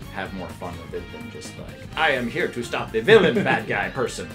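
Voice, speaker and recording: Over clear background music, a man speaks in a playful tone at a moderate pace. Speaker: voice actor. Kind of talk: interview answer. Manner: jokey, playful. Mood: relaxed, jokey. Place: studio. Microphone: lapel.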